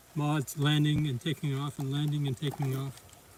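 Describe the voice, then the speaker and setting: Here a man talks at a moderate pace with fairly high pitch and fairly even intonation. Noticeable background noise is present. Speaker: amateur naturalist live streamer. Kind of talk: live commentary. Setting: outdoors.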